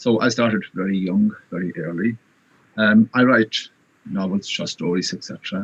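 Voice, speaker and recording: With a Connacht accent, a man talks at a moderate pace with fairly low pitch and fairly even intonation, and the sound is dry and close with no echo. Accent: Irish (Connacht). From Ireland, Irish-speaking west (Galway area). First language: Irish. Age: 50s. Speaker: writer. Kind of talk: interview.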